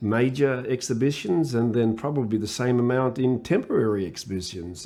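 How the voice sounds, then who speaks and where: This man's voice has a dark, mellow tone. His intonation is lively. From Sydney, Australia. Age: old. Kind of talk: oral history interview. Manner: halting, many repetitions and fillers.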